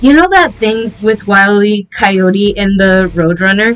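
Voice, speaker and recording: Music plays in the background. The pace is fairly slow. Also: woman. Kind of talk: casual movie review to camera. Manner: off-script, frequent stuttering.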